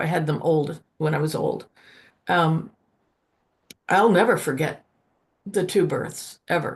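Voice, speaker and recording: Somewhat breathy and fairly low in pitch, a woman speaks at a fairly slow pace with ordinary pitch variation and long, frequent pauses. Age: 70s. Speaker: author. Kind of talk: online panel discussion. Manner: halting.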